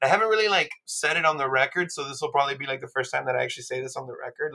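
Here a man talks with an American accent at a fairly high pitch. His tone is bright and sharp. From Miami, Florida. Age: 30s. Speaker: musician. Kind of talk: casual chat.

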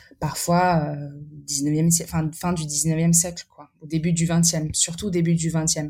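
Her voice fairly low with a dark, mellow tone, a woman speaks at a very slow pace with monotone, flat intonation. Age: 20s. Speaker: artist with exhibitions. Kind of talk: podcast interview. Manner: halting, many repetitions and fillers.

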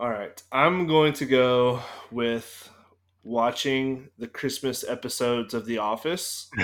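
A man's medium-pitched voice, fairly even in intonation and very slow, on a very clean recording with a silent background. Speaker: podcast host. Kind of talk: casual chat.

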